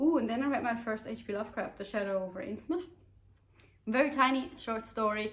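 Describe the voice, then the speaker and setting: Somewhat breathy and animated, a woman with a non-native accent and fairly high pitch talks at a fairly quick pace with ordinary pitch variation. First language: not English. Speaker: book youtuber. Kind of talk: casual book review chat. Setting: home, on a sofa. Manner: casual, many fillers and hesitations.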